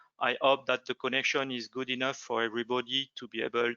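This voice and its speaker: A man of medium pitch with a French accent. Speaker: product manager, webinar host. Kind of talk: webinar introduction. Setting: online webinar. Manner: halting, many hesitations.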